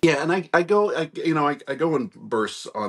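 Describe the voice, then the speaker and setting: A man is speaking. The background is quiet. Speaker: remote guest. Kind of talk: interview answer. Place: home room. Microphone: video call.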